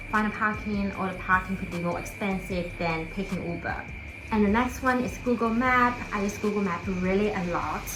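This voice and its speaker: Amid noticeable background noise and audible room echo, a woman with a non-native accent, a medium pitch and a relaxed tone speaks at a moderate pace. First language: not English. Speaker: lifestyle vlogger. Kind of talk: casual talk to camera. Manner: relaxed, with fillers.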